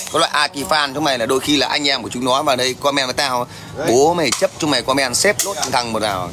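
A man speaks very fast with ordinary pitch variation while music plays clearly in the background. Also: medium pitch for a man. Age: 40s. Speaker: livestreamer. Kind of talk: livestream chat and heated rant at viewers. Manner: confrontational, loud. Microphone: phone near.

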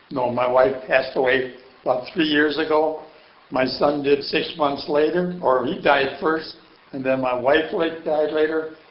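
Fairly high male pitch and fairly even intonation, amid audible room echo and noticeable background noise. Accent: American. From Chicago, US Midwest. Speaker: Korean War veteran, retired auto mechanic. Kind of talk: oral history interview.

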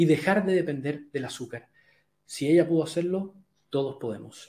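Speaking at a moderate pace, a man uses a fairly high pitch with a dark, mellow tone. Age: 40s. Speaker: health coach. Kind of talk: live webinar talk. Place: home room. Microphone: webcam.

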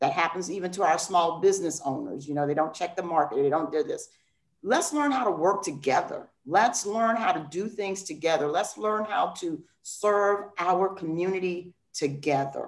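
With a normal speaking voice at medium pitch, a woman talks at a moderate pace using lively intonation. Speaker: nonprofit founder. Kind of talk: panel discussion. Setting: video call.

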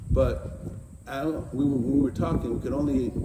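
A man's moderately paced speech comes through noticeable background noise. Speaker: teacher. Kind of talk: sermon. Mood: warm, reflective. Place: open country. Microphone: lapel.

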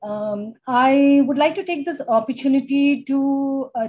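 The pitch rises and falls in an ordinary manner. The speaker is a woman. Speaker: keynote speaker. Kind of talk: keynote talk. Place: office. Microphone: video call.

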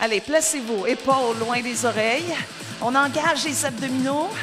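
A woman speaks at a fairly slow pace with ordinary pitch variation. Music plays in the background. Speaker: spin class coach. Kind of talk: fitness class instruction. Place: studio.

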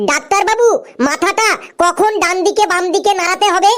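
An extremely high-pitched, cartoonish character voice is heard. It moves at a moderate pace. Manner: whiny, repeats "doctor babu".

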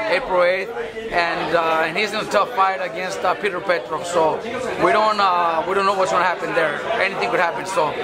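Over crowd noise in the background, a man speaks at a fairly quick pace. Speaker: boxing trainer. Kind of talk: interview answer. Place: gym.

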